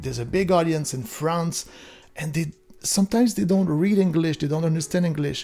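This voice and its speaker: A man with a strong Quebec accent and high pitch speaks at a fairly quick pace. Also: ordinary pitch variation. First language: French. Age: 40s. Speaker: gaming YouTuber. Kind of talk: casual direct-to-camera video. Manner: halting with frequent repetitions and fillers.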